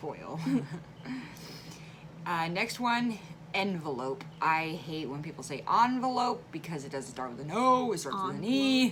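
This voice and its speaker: With an American accent, a woman talks at a fairly slow pace with very wide pitch swings and long, frequent pauses, over noticeable background noise. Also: fairly low pitch for a woman. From Central Illinois. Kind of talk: casual talk to camera.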